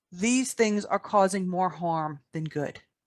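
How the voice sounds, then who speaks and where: A woman's lively intonation at a fairly slow pace against a quiet background. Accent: New York. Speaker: tobacco harm reduction advocate. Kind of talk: podcast interview.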